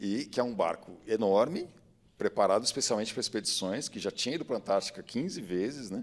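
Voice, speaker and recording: A man talks with a normal speaking voice. His medium pitch moves with lively intonation. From Brazil, São Paulo. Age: 40s. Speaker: diver, biologist and sailor. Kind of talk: casual chat.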